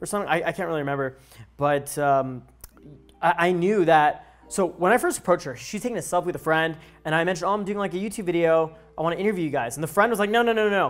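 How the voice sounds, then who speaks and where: At a very fast pace, a man speaks with a high pitch. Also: ordinary pitch variation. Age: 20s. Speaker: dating coach YouTuber. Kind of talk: casual interview and video breakdown. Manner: casual, filler-heavy.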